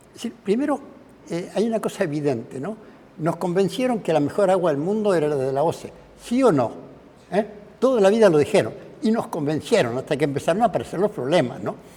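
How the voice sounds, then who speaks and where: Very wide pitch swings mark this man's high voice. He talks at a fairly quick pace. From Uruguay, Canelones (Sauce and Pando). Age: 80s+. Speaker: professor and engineer giving a public talk. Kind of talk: public talk. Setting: cultural centre with live audience. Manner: conversational, many fillers.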